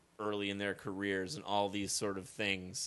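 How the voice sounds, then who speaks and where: A man's fairly low-pitched voice with a bright, sharp tone. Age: 20s. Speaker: podcast co-host. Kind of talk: casual chat.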